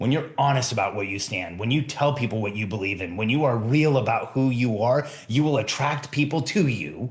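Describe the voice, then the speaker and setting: A man talks at a moderate pace. His voice has a somewhat breathy quality. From Mexico. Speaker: podcast host, entrepreneur coach. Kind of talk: solo podcast monologue. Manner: emphatic.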